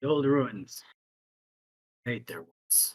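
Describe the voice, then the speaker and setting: A raspy, put-on character voice. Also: man, medium pitch for a man. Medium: actual play. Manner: terse, blunt.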